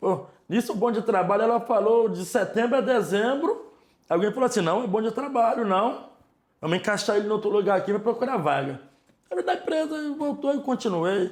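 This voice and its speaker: A man with a northeastern Brazilian accent talks at a moderate pace in a high pitch, his tone animated and his intonation lively. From Ceará, Brazilian Northeast. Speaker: store manager. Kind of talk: interview, life story. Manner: casual, animated.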